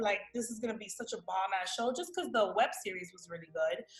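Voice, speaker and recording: With a New York accent, a woman talks in an animated tone at a fairly quick pace, her pitch swinging very widely over noticeable background noise. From Miami, raised; born New York. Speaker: actress. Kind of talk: interview, casual storytelling.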